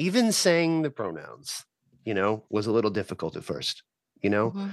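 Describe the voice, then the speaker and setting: A man's voice swings very widely in pitch, sounding dry and close with no echo over a quiet background. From Texas, El Paso. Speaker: spokesperson for a socialist group. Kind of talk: casual interview. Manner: halting, repetitive.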